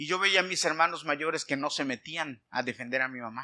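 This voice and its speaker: A man with a bright, sharp tone, fairly high pitch, fairly quick pace and ordinary pitch variation. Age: 50s. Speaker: pastor. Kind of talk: sermon.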